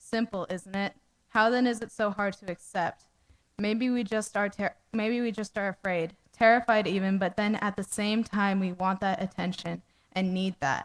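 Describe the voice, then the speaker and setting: A woman at a moderate pace and medium pitch with fairly even intonation, in a very clean recording with a silent background. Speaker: open mic performer, college student. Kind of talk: reading aloud own prose poem. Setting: open mic stage in a cafe. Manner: soft-spoken; halting, self-correcting.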